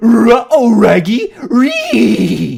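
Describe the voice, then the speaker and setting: Here is a put-on character voice pitched fairly high. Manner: cartoonish.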